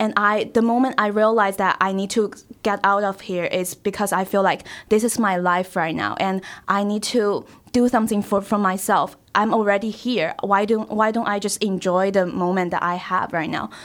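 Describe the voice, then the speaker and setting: A woman speaks with a Chinese accent at a moderate pace, her intonation monotone and flat. The recording is very clean, with a silent background. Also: medium pitch for a woman. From China, Shanghai. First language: Mandarin Chinese. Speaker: college student. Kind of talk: casual interview. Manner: halting.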